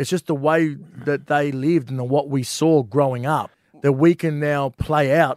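With an Australian accent, a man speaks at a moderate pace in a fairly high, monotone, flat voice, recorded with a dry, close sound and no echo. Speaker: comedian. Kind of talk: casual banter.

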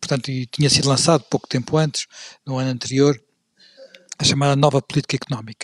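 Speaking at a very fast pace yet with long, frequent pauses, a man with a fairly high, somewhat breathy voice keeps a monotone, flat intonation in a dry, close sound with no echo. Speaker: podcast host and moderator. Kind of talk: history discussion. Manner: halting, many fillers and repeats.

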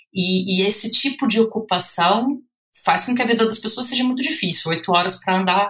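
A woman with a Brazilian accent and a bright, sharp tone, at a moderate pace with ordinary pitch variation. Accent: Brazilian Portuguese, obvious. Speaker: researcher and author. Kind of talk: podcast interview. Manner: hesitant, many fillers.

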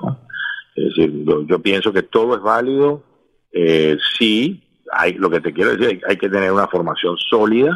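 Fairly low in pitch, a man speaks at a moderate pace with very wide pitch swings. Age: 50s. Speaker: music manager. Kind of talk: interview. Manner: halting, many repeated words.

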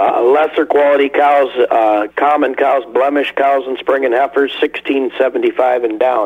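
Speaking at a fairly slow pace with hardly any pauses, a man holds a fairly high pitch and fairly even intonation. His loudness stays very even, over noticeable background noise. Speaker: livestock auction representative. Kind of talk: casual chat and market report.

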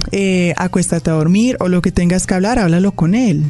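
A woman talks fairly quickly with ordinary pitch variation, noticeable background noise behind her. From Colombia, Pasto (Nariño). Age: 20s. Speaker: podcast guest, engineer and model. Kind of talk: casual interview.

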